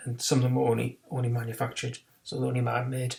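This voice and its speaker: In a British accent, a man speaks at medium pitch with monotone, flat intonation. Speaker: chemistry teacher. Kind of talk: recorded lesson. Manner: fast; hesitant, many fillers.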